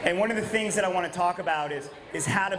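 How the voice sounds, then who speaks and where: Noticeable background noise surrounds a man's voice. He talks at a fairly quick pace with fairly even intonation. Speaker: presenter. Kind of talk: conference talk. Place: hall. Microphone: handheld.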